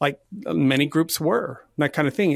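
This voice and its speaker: Recorded very cleanly with a silent background, a man with a fairly high pitch and an ordinary speaking voice talks at a moderate pace. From Canada, Nova Scotia (Halifax). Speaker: volunteering consultant, company co-founder. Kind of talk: interview.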